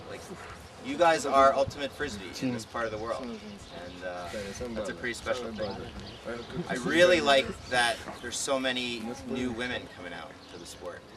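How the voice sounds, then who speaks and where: A man with an American accent, big swings in loudness, and long, frequent pauses, plus audible room echo and noticeable background noise. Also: medium pitch for a man. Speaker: frisbee coach. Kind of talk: instructional talk to camp participants. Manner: fast.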